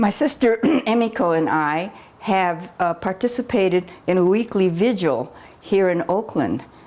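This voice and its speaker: A woman's lively, fairly slow voice over crowd noise in the background. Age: 90s. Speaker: activist and columnist. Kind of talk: documentary interview.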